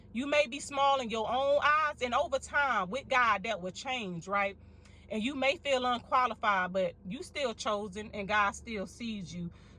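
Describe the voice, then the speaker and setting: The voice carries a Mississippi accent. Its tone is animated. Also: woman, fairly high pitch for a woman. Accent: Southern US, from Mississippi. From US South, Mississippi. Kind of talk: sermon-style encouragement to viewers. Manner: loud.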